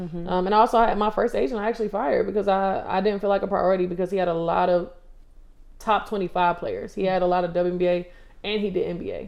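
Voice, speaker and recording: In an American accent, a woman speaks at a very fast pace with fairly even intonation. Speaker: former college basketball player, pro overseas. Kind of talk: casual chat interview.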